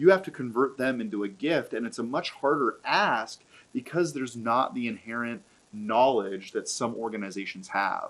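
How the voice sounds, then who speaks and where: A man with a normal speaking voice talks at medium pitch with lively intonation. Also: moderate pace. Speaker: charity auctioneer. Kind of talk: casual conversational discussion of fundraising events.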